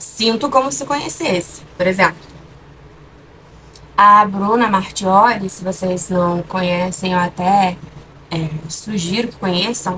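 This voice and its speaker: A soft-spoken woman talks at a very slow pace. Noticeable background noise can be heard. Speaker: vlogger. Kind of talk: casual vlog chat. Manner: hesitant, with fillers.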